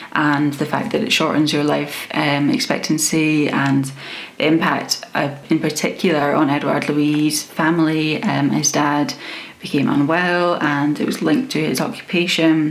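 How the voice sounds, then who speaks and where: A woman's very deep, low voice at a moderate pace, with fairly even intonation, very even loudness and noticeable background noise. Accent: Scottish. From Scotland. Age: 20s. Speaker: book reviewer. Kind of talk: casual talk to camera.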